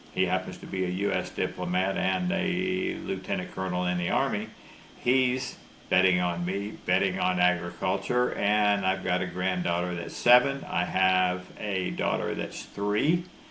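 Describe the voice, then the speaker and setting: A man with a Florida accent speaks in a very deep, low voice at a moderate pace with fairly even intonation. Audible room echo and noticeable background noise fill the recording. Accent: US Southern (Florida). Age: 70s. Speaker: rancher. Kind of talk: interview.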